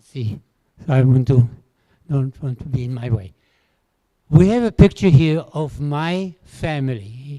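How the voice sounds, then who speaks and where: A man speaks in a dark, mellow tone with lively intonation and big swings in loudness. He leaves long, frequent pauses. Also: fairly high pitch for a man, fairly slow pace. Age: 80s+. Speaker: Holocaust survivor speaker. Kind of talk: testimony.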